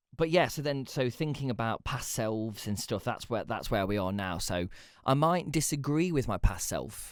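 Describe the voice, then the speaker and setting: This man speaks in an East Midlands accent at a moderate pace. His medium pitch carries lively intonation. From England, Leicester. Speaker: podcast host. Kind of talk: casual personal monologue. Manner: conversational with frequent fillers and restarts.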